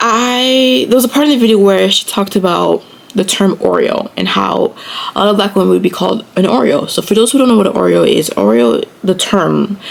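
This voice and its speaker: Amid noticeable background noise, a woman talks at a fairly quick pace with very even loudness. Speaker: YouTuber. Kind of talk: casual vlog talk. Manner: soft-spoken; hesitant, many fillers.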